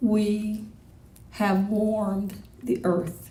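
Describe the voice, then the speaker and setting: Audible room echo carries a woman's somewhat breathy voice, pitched fairly high. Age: 60s. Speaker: poet. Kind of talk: poetry reading.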